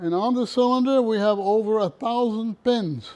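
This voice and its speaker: With a Philadelphia accent, a man speaks at a fairly slow pace in a high pitch, with a dark, mellow tone and ordinary pitch variation. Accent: Philadelphia American English. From US, Philadelphia. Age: 90s. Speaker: music box collector and museum owner. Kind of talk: casual museum tour and life story.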